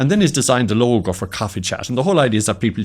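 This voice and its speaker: Very fast speech from a man at a medium pitch, with very wide pitch swings. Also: very clean recording, silent background. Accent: west of Ireland. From Ireland, County Mayo. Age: 60s. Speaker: entrepreneur. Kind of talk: interview chat.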